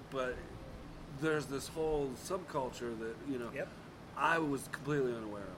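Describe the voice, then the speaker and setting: A man speaks at a fairly high pitch with ordinary variation and a moderate pace. Long, frequent pauses break his speech, and the room echo is audible. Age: 40s. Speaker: musician. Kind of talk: casual chat. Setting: outdoors.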